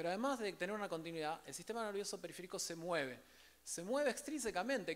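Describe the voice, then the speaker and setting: A man talking very fast with lively intonation. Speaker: rehabilitation physician, conference speaker. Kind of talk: lecture.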